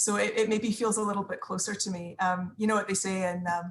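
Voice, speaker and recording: Her voice somewhat breathy, a woman talks at a moderate pace. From Scotland. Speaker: book club participant, former parliamentary adviser. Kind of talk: casual group video chat introduction. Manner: hesitant, many fillers and repetitions.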